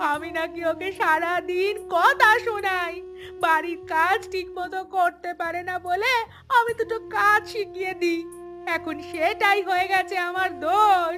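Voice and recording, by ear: At a fairly slow pace, a woman uses a cartoonish character voice with a bright, sharp tone, an extremely high pitch and ordinary pitch variation.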